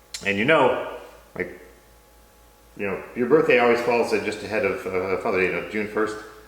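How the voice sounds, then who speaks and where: At a fairly quick pace broken by long, frequent pauses, a man speaks in a fairly low pitch with ordinary pitch variation, amid noticeable background noise and audible room echo. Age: 40s. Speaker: company executive and interviewer. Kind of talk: casual chat.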